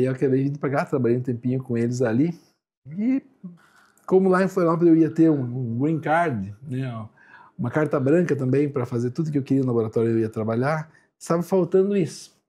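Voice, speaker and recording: Lively intonation runs through a dark, mellow tone. The pace is fairly quick. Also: man. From Santa Catarina, Brazil (Joaçaba). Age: 60s. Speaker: lab director, clinical analyst. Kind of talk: radio interview. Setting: radio studio.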